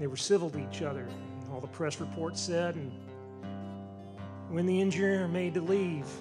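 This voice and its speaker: A man speaks with an American accent at a moderate pace, his pitch fairly high and swinging very widely. Long pauses come often, and music plays in the background. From Southern United States. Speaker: storyteller; newspaper columnist. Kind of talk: live storytelling performance.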